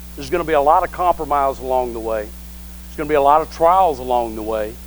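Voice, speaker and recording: A man at a very fast pace, with big swings in loudness and audible room echo. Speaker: pastor. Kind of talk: sermon.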